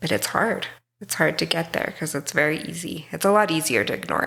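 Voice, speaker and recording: A woman with an American accent speaks at a very deep, low pitch with vocal fry, on a very clean recording with a silent background. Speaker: mental health counselor. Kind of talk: interview conversation.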